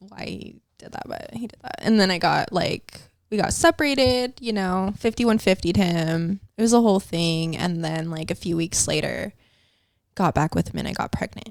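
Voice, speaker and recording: A woman with a normal speaking voice at medium pitch, moderate pace, lively intonation and big swings in loudness, on a very clean recording against a silent background. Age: 30s. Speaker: guest sharing addiction recovery story. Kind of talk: casual podcast interview. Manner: casual, filler-heavy.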